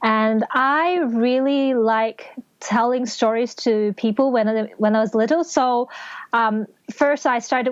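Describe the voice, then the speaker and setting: Against a quiet background, a woman with a Cantonese accent speaks fairly slowly in a high voice with fairly even intonation. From Hong Kong. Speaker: novelist and English teacher. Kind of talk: casual interview.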